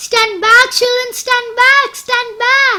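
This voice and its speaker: In a put-on character voice, a woman squeaks at an extremely high pitch and a very slow pace. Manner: shouting.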